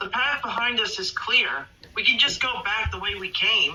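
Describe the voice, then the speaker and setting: The speaker puts on a character voice, pitched high and moving at a moderate pace. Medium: machinima.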